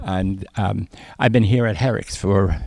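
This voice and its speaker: Speaking at a fairly slow pace, a man with a fairly low pitch and a dark, mellow tone uses ordinary pitch variation. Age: 70s. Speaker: community theater director. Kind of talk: interview. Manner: halting, many fillers.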